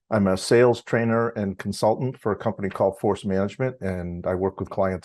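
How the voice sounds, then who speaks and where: The voice has a dark, mellow tone and fairly even intonation, moving at a fairly quick pace over a quiet background. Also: man. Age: 60s. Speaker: university lecturer and drum student. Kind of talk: interview.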